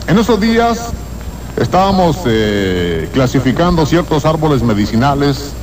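A man speaks at a fairly high pitch. Noticeable background noise runs underneath. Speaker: radio host. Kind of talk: radio horror show, reading a listener letter aloud. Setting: radio broadcast. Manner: dramatic, spooky, suspense-building delivery; halting, hesitant reading with stumbles and restarts.

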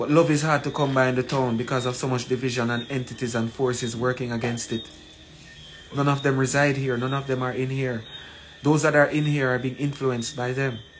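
Fairly quick speech from a man, fairly even in intonation, over faint background noise. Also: medium pitch for a man.

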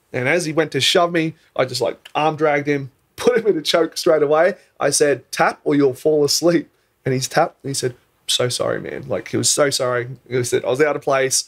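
The speaker has an Australian accent and talks at a fairly quick pace. Pitch variation is ordinary. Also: man. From Australia (Queensland), born in New Zealand. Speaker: podcast guest. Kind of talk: casual chat. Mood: animated, jovial. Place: studio. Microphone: studio mic.

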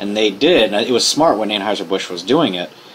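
Talking at a very fast pace, a man with an American accent has a fairly low pitch. There is noticeable background noise. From Norfolk, Virginia. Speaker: craft brewery owner. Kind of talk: interview. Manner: casual, with filler words.

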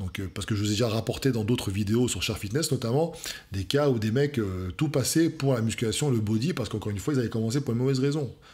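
A man speaks at a very fast pace with a medium pitch. His voice is somewhat breathy, with ordinary pitch variation. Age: 40s. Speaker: fitness coach youtuber. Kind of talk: video reaction commentary. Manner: hesitant with many fillers. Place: home room.

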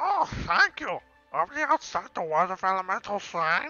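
A put-on character voice at a middle pitch moves at a moderate pace with very wide pitch swings, faint music playing in the background. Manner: cheerful.

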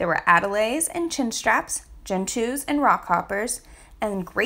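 With lively intonation, the speaker uses an unforced reading voice.

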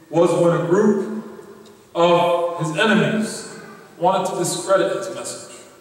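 Strong room echo follows a man as he speaks very slowly in a high voice. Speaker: preacher. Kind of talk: sermon.

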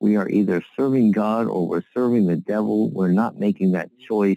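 A man speaks at a fairly low pitch with a dark, mellow tone. The sound is dry, with no echo. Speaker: prayer call leader giving a devotional. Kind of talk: Bible reading then short sermon-style devotional, closing with fervent prayer. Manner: earnest, fervent, pleading in prayer; halting, with fillers and repeated words. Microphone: phone line.

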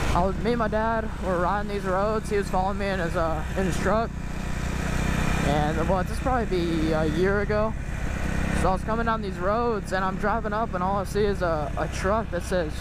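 A fairly quick pace in a dry sound with no echo, amid loud background noise. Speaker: rider vlogger. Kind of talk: casual vlog chat. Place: motorbike. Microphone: helmet.

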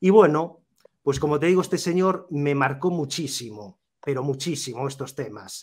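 This man's voice sits fairly high for a man, with ordinary pitch variation. He talks at a fairly slow pace. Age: 40s. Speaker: YouTuber. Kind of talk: interview. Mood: reflective, personal storytelling. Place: home room. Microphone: video call.

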